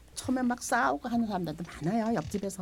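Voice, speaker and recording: This is a woman speaking. Her voice has vocal fry. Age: 70s. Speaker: market shop owner. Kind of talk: interview.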